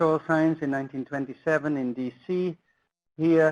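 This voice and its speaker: Over a quiet background, a man with a slight Dutch accent speaks at a moderate pace, the sound dry and close with no echo. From Netherlands. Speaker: soil science professor. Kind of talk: lecture. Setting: webinar presentation. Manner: halting, many fillers.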